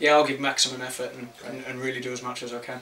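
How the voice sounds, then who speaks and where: Over noticeable background noise and audible room echo, a man speaks very fast at a medium pitch in a monotone, flat way. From Australia. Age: 30s. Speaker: football manager. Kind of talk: press conference. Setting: press conference room. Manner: hesitant, many fillers.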